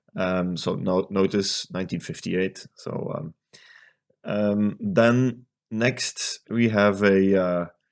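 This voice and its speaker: Very slow speech in a Dutch accent. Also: man, fairly low pitch for a man, fairly even intonation, very clean recording, silent background. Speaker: electronics restoration youtuber. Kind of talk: tutorial. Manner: hesitant, many fillers.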